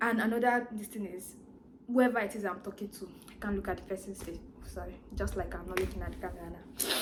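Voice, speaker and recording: Noticeable background noise sits behind a woman's medium-pitched voice. She speaks at a fairly quick pace with fairly even intonation. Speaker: vlogger. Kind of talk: personal vlog monologue. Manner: fast.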